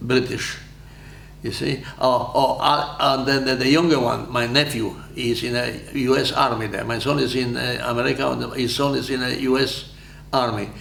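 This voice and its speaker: Speaking at a moderate pace in a Polish accent, a man keeps a medium pitch with monotone, flat intonation. Audible room echo and noticeable background noise surround him. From Poland. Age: 90s. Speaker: war veteran. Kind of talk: interview. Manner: halting.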